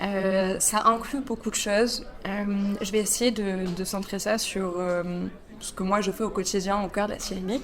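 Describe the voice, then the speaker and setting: There is noticeable background noise behind this woman's voice. She talks at a fairly slow pace in a medium pitch with fairly even intonation. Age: 20s. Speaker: finance professional. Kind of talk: interview. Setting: podcast. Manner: hesitant, many fillers.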